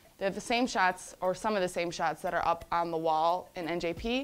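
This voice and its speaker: A woman's fairly low voice with music in the background. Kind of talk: casual tour guide chat.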